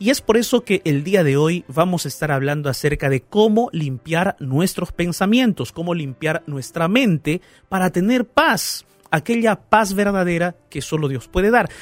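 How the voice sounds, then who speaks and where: A man with a high pitch and lively intonation speaks at a fairly slow pace, his sound dry and close with no echo, with music in the background. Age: 30s. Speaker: pastor and radio host. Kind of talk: radio Bible talk show. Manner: warm, animated.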